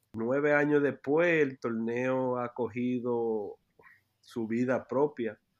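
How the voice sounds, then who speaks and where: A man speaks at a very slow pace in a medium pitch, his intonation fairly even against a quiet background. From New York City, Washington Heights. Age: 30s. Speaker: youth basketball program director. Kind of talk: interview. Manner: halting, many repetitions.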